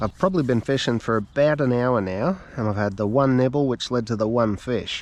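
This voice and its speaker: With an Australian accent, a man speaks at a medium pitch. His pitch variation is ordinary. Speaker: fishing vlogger. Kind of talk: casual outdoor vlog narration. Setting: outdoors by a river. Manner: halting.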